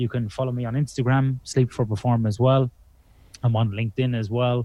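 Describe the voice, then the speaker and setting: A man's somewhat breathy, dark, mellow voice at medium pitch with fairly even intonation and an Irish accent, in a dry, close sound with no echo. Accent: Irish accent, often mistaken for Australian. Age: 40s. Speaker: sleep researcher. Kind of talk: podcast interview.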